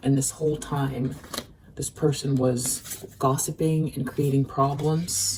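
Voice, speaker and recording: A woman speaks at a very slow pace with a very deep, low pitch. Her intonation is fairly even, and there is noticeable background noise. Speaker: tarot reader. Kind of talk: tarot reading. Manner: slow and careful.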